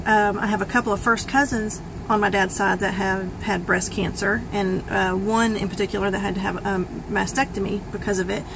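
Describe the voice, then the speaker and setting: A woman with a medium pitch keeps her intonation fairly even, heard through noticeable background noise and audible room echo. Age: 40s. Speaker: vlogger sharing health journey. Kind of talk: personal testimony vlog. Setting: self-recorded video. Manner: hesitant, many fillers.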